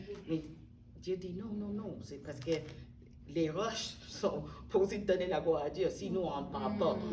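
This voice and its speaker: A woman speaks with an English accent and lively intonation, at a fairly slow pace with long, frequent pauses. Audible room echo and noticeable background noise are present. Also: big swings in loudness. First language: English (speaking French). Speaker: interviewee, widow and book contributor. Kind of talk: interview testimony. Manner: halting, with repetitions.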